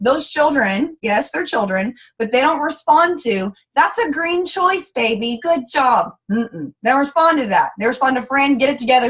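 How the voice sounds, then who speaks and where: A woman with a Texas accent speaks in a high pitch with lively intonation and an animated tone. She barely pauses at all. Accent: Texas Southern US. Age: 20s. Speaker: network marketing leader. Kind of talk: motivational training talk. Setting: conference call. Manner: fast.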